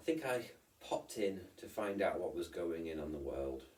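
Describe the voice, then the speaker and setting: Somewhat breathy and very deep in pitch, a man talks at a moderate pace. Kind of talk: casual vlog talk to camera. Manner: rambling, hesitant.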